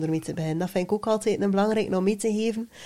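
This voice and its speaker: Speaking very fast in a West Flemish accent, a woman has a dark, mellow tone at medium pitch. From West Flanders, Belgium. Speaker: personal branding coach. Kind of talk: casual chat.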